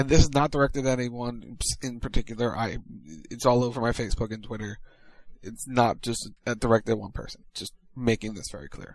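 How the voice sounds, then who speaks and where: At a fairly quick pace and medium pitch, a man speaks in an ordinary speaking voice with fairly even intonation and big swings in loudness. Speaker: radio co-host and producer. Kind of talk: radio DJ patter, promo reads and banter.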